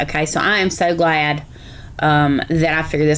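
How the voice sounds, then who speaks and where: A woman speaks in a Southern US accent. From South Carolina. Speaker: reaction video host. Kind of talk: reaction commentary.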